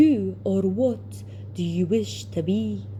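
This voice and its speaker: In a put-on character voice, someone talks at a very slow pace with a low pitch against clear background noise. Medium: read story.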